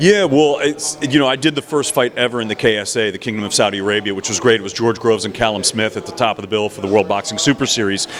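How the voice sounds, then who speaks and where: A man with a medium pitch talks very fast in an enthusiastic tone. His pitch varies in an ordinary way over noticeable background noise. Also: hardly any pauses. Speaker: professional ring announcer. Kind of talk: interview answer. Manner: fluent, enthusiastic.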